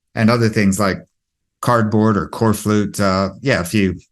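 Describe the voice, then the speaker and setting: An ordinary speaking voice from a man with a North American accent and fairly low pitch, at a moderate pace with fairly even intonation over a quiet background. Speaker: home energy efficiency advisor. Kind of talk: webinar presentation. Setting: online webinar. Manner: casual, with many fillers.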